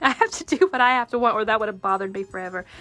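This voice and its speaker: The pitch varies in an ordinary way. Music plays in the background. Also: woman. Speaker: quilting video host. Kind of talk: tutorial. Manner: casual, chatty; halting, self-correcting.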